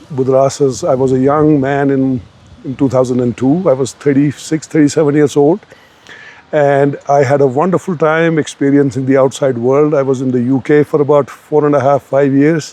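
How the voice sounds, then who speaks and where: Noticeable background noise accompanies a man speaking at a fairly high pitch with fairly even intonation. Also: moderate pace. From Kashmir. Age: 60s. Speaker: doctor. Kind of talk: interview. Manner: repetitive, self-correcting.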